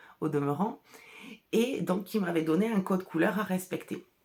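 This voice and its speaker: A woman speaks with ordinary pitch variation. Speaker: artisan wool dyer and podcaster. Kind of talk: casual solo podcast chat. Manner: chatty, hesitant with fillers.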